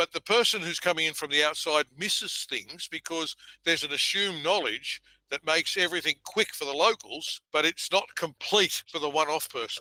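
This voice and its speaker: Fairly quick, high-pitched speech from a man with an Australian accent, a bright, sharp tone, ordinary pitch variation and a dry, close sound with no echo. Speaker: event industry consultant. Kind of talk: conversational podcast discussion.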